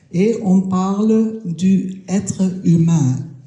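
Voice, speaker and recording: Heard with audible room echo, a woman at medium pitch sounds somewhat breathy and uses ordinary pitch variation. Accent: German. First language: German (speaking French). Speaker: round-table panelist. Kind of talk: round-table talk. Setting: stage with audience at a festival. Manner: hesitant.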